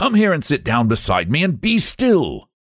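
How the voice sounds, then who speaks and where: A man does a gruff, put-on character voice at a fairly high pitch. His pitch swings very widely at a moderate pace. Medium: read story. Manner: gruff, cold.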